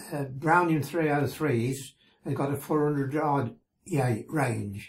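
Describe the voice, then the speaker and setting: A somewhat breathy man speaks at a very slow pace with a fairly high pitch and fairly even intonation. The background is quiet. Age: 80s+. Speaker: war veteran. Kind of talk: interview answer. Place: home room.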